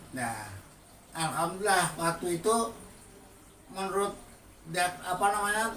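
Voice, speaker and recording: Audible room echo and noticeable background noise surround a man talking at a fairly slow pace with long, frequent pauses. His pitch is high and his intonation lively. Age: 60s. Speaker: stroke patient giving testimony. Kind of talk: testimony. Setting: at home.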